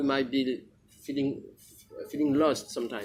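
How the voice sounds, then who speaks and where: A man speaks with a French accent. His voice sits fairly high for a man. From France. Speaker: spiritual teacher. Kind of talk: spiritual talk. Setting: small group gathering. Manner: halting.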